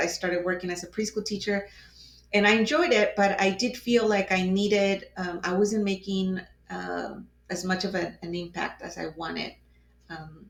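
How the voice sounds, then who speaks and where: A woman with a Spanish accent and a medium pitch, with big swings in loudness. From Mexico (Mexico City). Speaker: advocate for crime victims. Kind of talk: casual conversation. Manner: halting, many fillers.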